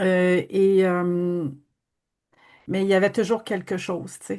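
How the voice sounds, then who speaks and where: Speaking at a very slow pace with a Quebec accent, a woman keeps a fairly low pitch and a monotone, flat intonation, her tone dark and mellow against a quiet background. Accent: Québécois French. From Quebec, Abitibi-Témiscamingue. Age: 60s. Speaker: energy healing practitioner. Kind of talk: testimony.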